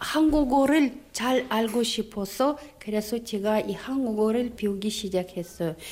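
A woman with a Russian accent, fairly high in pitch, fairly slow and with hardly any pauses, with ordinary pitch variation. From Kazakhstan, Aktobe. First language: Russian (speaking Korean). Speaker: Korean language teacher. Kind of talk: interview. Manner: halting; deliberate, word by word.

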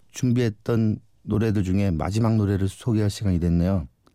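Recorded very cleanly against a silent background, a man speaks with a dark, mellow tone and a fairly low pitch. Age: 40s. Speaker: guest DJ, convenience store worker. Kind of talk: radio DJ music presentation.

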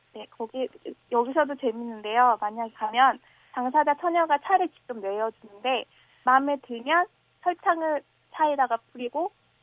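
With lively intonation, a woman speaks at a high pitch, leaving long, frequent pauses. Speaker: university student. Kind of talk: radio phone interview. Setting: phone call.

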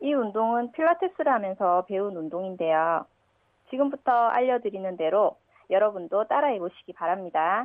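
An ordinary speaking voice from a woman, medium in pitch, at a moderate pace with lively intonation. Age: 30s. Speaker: radio listener. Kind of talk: recorded listener tip with exercise instructions.

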